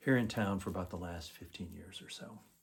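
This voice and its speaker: A normal speaking voice from a man, fairly low-pitched and fairly even in intonation. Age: 60s. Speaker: guitarist, music student. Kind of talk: testimonial. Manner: formal.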